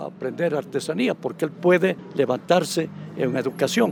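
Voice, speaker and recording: A man talks at a moderate pace in a fairly high voice. There is vocal fry and ordinary pitch variation. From Ecuadorian highlands (Baños, Tungurahua). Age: 80s+. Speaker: veteran radio journalist and pastor. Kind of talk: interview.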